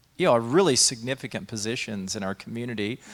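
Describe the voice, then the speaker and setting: With an American accent, a man talks in a plain, everyday voice at medium pitch, using ordinary pitch variation. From Texas, Dallas area. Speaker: pastor and show host. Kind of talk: interview conversation.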